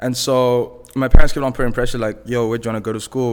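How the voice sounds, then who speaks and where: Speaking at a very fast pace, a man with a Zimbabwean accent holds a medium pitch. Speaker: music manager and tech business developer. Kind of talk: casual chat.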